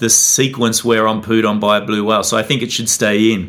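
A man talks with an Australian accent. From Australia, Tasmania. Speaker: documentary filmmaker. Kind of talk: interview.

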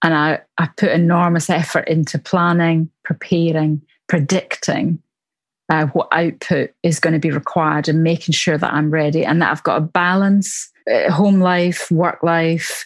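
In a Glaswegian accent, a woman speaks with a fairly low pitch and monotone, flat intonation over a quiet background. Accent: Glaswegian Scottish. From Glasgow, Scotland. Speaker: church minister.

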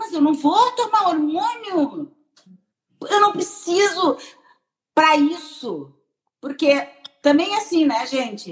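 Using very wide pitch swings, a woman with an extremely high-pitched voice speaks at a very slow pace with long, frequent pauses. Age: 60s. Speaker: breast surgeon. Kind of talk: interview on a live stream.

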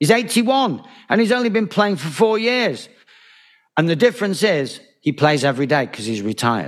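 Here a man speaks at a high pitch and a moderate pace. His pitch swings very widely. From Manchester, northern England. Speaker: author and former solicitor. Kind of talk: interview.

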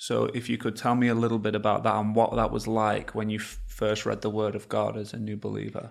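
A man with an English accent talks at a fairly quick pace with hardly any pauses, in a very clean recording with a silent background. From England. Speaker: podcast host. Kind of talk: interview.

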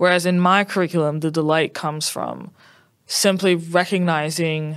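In a plain, everyday voice with an American accent, the speaker talks at a fairly slow pace with ordinary pitch variation. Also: woman. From US South, New Orleans, Louisiana. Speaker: curriculum designer, educator. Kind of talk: casual interview.

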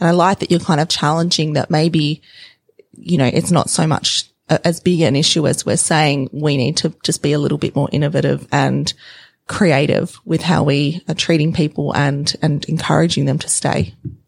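In a dry, close sound with no echo, a woman with a very deep, low pitch and vocal fry speaks at a moderate pace with fairly even intonation. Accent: Australian. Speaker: podcast host. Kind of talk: interview.

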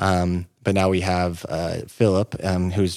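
This man has a very deep, low pitch and an American accent, recorded very cleanly against a silent background. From Northern California, Siskiyou County. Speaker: tourism marketing director. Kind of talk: interview.

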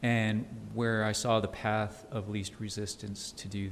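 A man speaks at a fairly slow pace in a fairly low pitch with a flat, monotone delivery and an American accent, over noticeable background noise. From El Paso, Texas. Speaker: financial advisor. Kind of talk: interview. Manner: halting, many fillers.

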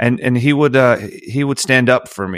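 At a moderate pace, a man speaks. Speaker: singer-songwriter. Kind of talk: casual chat. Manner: long-winded.

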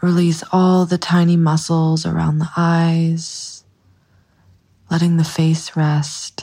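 Speaking very slowly, a woman has a fairly low pitch and a dark, mellow, somewhat breathy tone. Her intonation stays flat and monotone. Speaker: meditation guide. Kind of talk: guided meditation.

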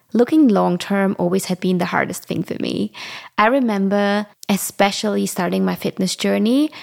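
A woman with a German accent at a moderate pace, in a very clean, dry, close recording with no echo and a silent background. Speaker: fitness and lifestyle podcaster. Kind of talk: casual monologue.

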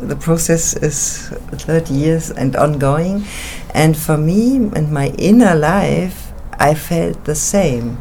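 A woman with a German accent speaks very slowly at a very deep, low pitch, with lively intonation and noticeable background noise. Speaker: actress and theater artist. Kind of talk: interview.

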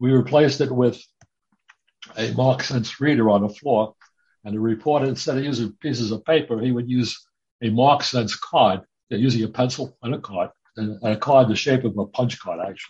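A man with a medium pitch talks at moderate speed, his intonation fairly level and his voice somewhat breathy. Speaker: retired computer programmer. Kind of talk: casual chat.

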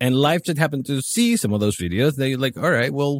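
Man with a Spanish accent, medium pitch and a fairly quick pace. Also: dry, close sound with no echo, very clean recording, silent background. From Chile. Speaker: video marketer. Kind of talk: casual interview.

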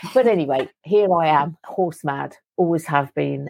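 The woman speaks with fairly even intonation. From London (Wembley). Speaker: energy healer and livestock farmer. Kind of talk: interview.

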